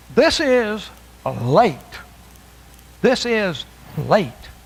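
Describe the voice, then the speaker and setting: Very slow male speech with very wide pitch swings, audible room echo and noticeable background noise. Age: 70s. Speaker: preacher. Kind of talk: sermon. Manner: halting.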